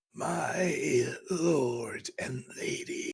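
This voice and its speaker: In a put-on character voice, a man growls at an extremely high pitch. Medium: actual play. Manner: polite, formal address.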